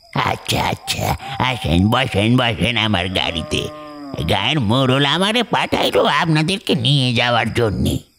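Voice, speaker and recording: A man puts on a character voice at medium pitch. He speaks fairly slowly, with very wide pitch swings. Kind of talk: horror story reading. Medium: read story. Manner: rustic, deferential.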